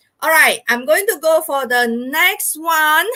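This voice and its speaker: Raising and projecting her voice, a woman speaks in a bright, sharp tone. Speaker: maths teacher. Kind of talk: live online lesson. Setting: live stream.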